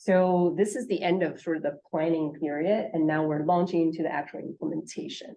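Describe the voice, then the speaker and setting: Speaking at a fairly quick pace with hardly any pauses, a woman uses a fairly low pitch and ordinary pitch variation. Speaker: state health official presenting. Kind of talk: conference presentation. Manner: hesitant with many fillers.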